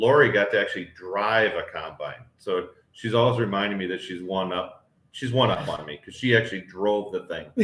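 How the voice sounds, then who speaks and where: A plain, everyday voice with ordinary pitch variation, moderately paced. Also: man. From northern US. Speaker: homestead vlogger. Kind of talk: live stream chat.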